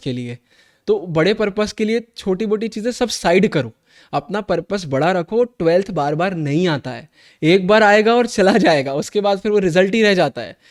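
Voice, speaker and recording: A man speaks at a moderate pace in a high pitch, with an animated tone and lively intonation. The recording is very clean with a silent background, and the sound is dry and close with no echo. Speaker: online teacher for students. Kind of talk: motivational talk to students in a live class.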